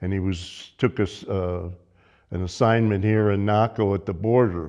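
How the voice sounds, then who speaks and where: A man speaks in a Southwest US accent with a fairly low pitch. His intonation is fairly even, and the background is quiet. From southern Arizona. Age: 80s+. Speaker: local elder recalling childhood. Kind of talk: oral history interview. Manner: halting, many fillers and restarts.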